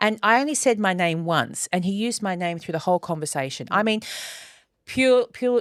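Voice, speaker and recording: Dry and close with no echo, this very clean recording has a silent background as a woman speaks with an Australian accent at a medium pitch. Her pace is fairly quick and her intonation lively. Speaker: podcast co-host. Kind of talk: casual chat.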